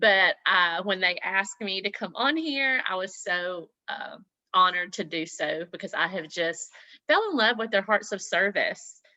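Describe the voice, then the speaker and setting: Her tone bright and sharp, a woman speaks at a medium pitch. She keeps a moderate pace with lively intonation. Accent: Southern US. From US South, Mississippi. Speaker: network marketing leader, former nurse. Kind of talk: motivational talk on team video call. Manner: animated.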